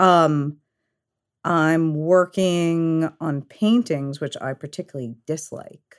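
A woman talks with a New York accent. The recording is very clean, with a silent background. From New York, Queens and Long Island. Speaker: graffiti artist and fashion designer. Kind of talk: casual chat.

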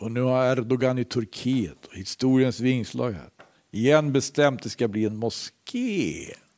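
A man talks in a normal speaking voice at a medium pitch. His pace is fairly slow, with ordinary pitch variation. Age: 60s. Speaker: preacher. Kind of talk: sermon.

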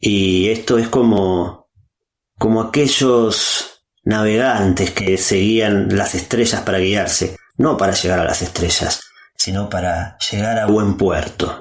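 A man speaks at a very slow pace, his fairly low voice held in fairly even intonation. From Argentina. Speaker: philosopher and podcaster. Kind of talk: prepared monologue.

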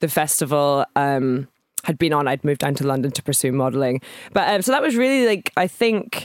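A woman talks at a fairly quick pace, her pitch swinging very widely. The sound is dry and close with no echo, on a very clean recording with a silent background. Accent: Scottish. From Scotland, Edinburgh. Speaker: DJ and producer. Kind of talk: casual interview chat. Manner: hesitant, many fillers.

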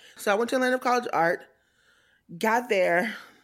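The recording is very clean, with a silent background. A woman with an American accent speaks in a fairly high pitch with lively intonation. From US South, Tallahassee, North Florida. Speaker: experience designer. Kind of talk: interview.

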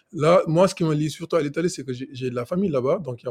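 The man's voice is somewhat breathy. He speaks very fast. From Senegal. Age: 20s. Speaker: software engineer, travel guest. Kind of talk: casual chat. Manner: halting, many repetitions.

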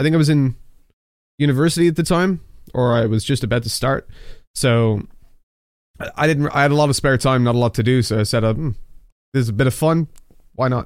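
Talking at a very fast pace but with long, frequent pauses, a man with a slight Dublin accent keeps a medium pitch and ordinary pitch variation. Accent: Irish, Dublin, fairly mild. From Dublin, Ireland. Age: 20s. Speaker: esports commentator. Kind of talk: casual interview chat.

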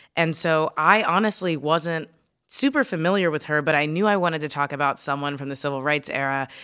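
A woman with an American accent speaks at a fairly quick pace in a bright, sharp tone, her very deep, low pitch showing ordinary variation, in a very clean recording with a silent background. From Kentucky, US South. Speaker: comedian and news podcast host. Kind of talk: interview. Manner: casual, frequent fillers.

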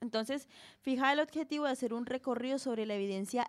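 This woman speaks at a high pitch and a moderate pace, with ordinary pitch variation. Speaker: podcast co-host. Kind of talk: casual chat; reading aloud.

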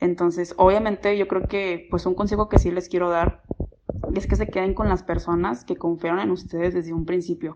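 At a moderate pace, a woman speaks with fairly even intonation and a fairly low pitch. She has an ordinary speaking voice. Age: 20s. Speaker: student and clothing brand founder. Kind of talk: personal testimony.

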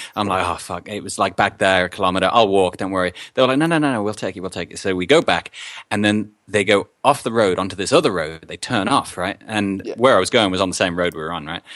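A man with an Australian accent talks at a very fast pace, his pitch fairly low and varying in an ordinary way. The recording is very clean, with a silent background. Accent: Australian-tinged English. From England. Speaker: podcaster and musician. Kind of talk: casual chat.

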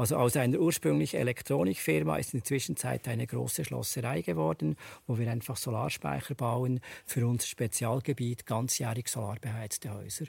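Very wide pitch swings and vocal fry in a man's voice. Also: medium pitch for a man, moderate pace. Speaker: solar company founder. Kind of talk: panel discussion.

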